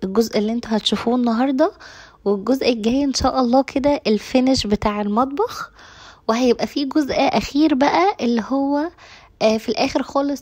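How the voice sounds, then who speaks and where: A woman with an Egyptian accent talks at a moderate pace. Her pitch is high, with ordinary variation. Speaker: cooking and home vlogger. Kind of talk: casual vlog talk to viewers. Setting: home kitchen.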